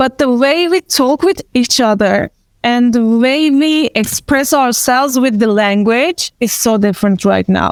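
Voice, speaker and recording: In a very clean recording with a silent background and a dry, close sound with no echo, a woman with a Turkish accent speaks at a high pitch and a fairly slow pace, with very even loudness and hardly any pauses. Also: ordinary pitch variation. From Turkey, Istanbul. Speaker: actor and event organizer. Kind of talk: panel discussion. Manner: hesitant, many fillers.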